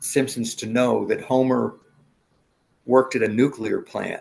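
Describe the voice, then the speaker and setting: With an American accent, a man speaks at a medium pitch with vocal fry. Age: 70s. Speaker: war veteran. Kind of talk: interview.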